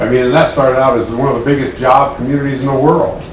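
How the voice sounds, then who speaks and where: Someone talks at a very fast pace with audible room echo and noticeable background noise. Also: man. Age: 60s. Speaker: resident speaking at public hearing. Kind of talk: public comment at council meeting. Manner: halting, with repetitions.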